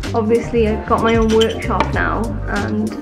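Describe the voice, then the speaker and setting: Clear music sits in the background while a woman talks. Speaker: woodworker vlogger. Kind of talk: casual vlog chat. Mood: upbeat, reflective. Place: workshop. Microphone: phone near.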